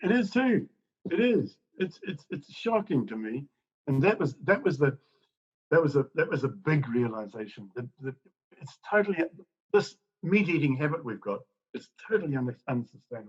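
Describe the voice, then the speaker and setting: Speaking in a fairly high, somewhat breathy voice, a man swings widely in pitch and sharply in loudness, leaving long, frequent pauses. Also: moderate pace. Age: 70s. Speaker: ex-farmer, author. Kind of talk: interview answer.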